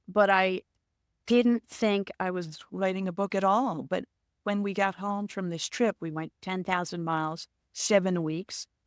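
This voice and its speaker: A plain, everyday voice moves at a fairly slow pace with fairly even intonation, in a dry, close sound with no echo. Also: woman, medium pitch for a woman, very clean recording, silent background. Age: 60s. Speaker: author and motorcyclist. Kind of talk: casual interview.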